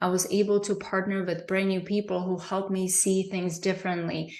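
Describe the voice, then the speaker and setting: A woman with a non-native accent speaks at a moderate pace and medium pitch, her intonation monotone and flat, with audible room echo. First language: not English. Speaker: presenter, business coach. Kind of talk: live online training. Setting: livestream. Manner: hesitant, with fillers.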